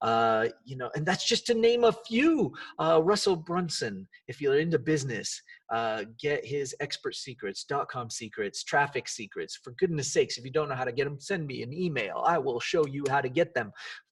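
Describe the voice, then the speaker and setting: With lively intonation and big swings in loudness, a man speaks in a fairly high, somewhat breathy voice. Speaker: life coach and podcast host. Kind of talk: motivational podcast monologue. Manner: fast; animated.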